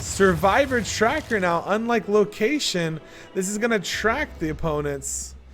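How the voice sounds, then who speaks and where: Very wide pitch swings come through against noticeable background noise. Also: man. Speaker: esports shoutcaster. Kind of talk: live game shoutcast commentary.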